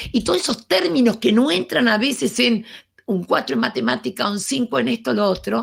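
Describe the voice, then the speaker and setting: With vocal fry and very wide pitch swings, a woman speaks at a medium pitch and a moderate pace. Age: 70s. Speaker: education speaker. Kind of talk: lecture.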